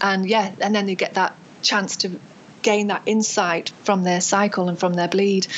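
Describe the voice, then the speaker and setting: A medium-pitched woman with a British accent, a moderate pace, very even loudness, and monotone, flat intonation. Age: 40s. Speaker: acupuncturist and craniosacral therapist. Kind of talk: interview.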